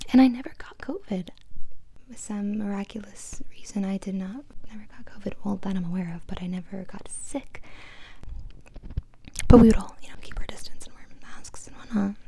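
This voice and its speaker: Whispering at a fairly quick pace, a woman breaks her speech with long, frequent pauses. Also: big swings in loudness. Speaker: ASMR creator. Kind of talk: casual soft-spoken Q&A talk to camera. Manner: soft-spoken, relaxing.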